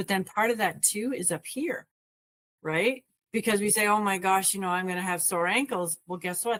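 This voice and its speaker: A woman with an ordinary speaking voice talks at a moderate pace and medium pitch, her pitch varying in an ordinary way, in a dry, close sound with no echo. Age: 60s. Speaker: wellness coach. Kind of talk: casual discussion.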